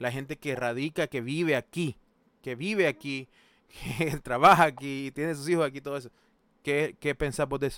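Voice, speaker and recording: A man speaks at a moderate pace and a fairly high pitch, with fairly even intonation. The recording is very clean with a silent background and a dry, close sound with no echo. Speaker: streamer hosting discussion. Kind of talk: casual chat.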